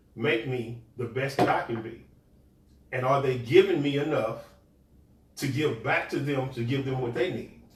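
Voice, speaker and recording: A man talks at a medium pitch with ordinary pitch variation. Audible room echo and noticeable background noise surround him. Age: 50s. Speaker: podcast co-host. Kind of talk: casual chat. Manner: halting.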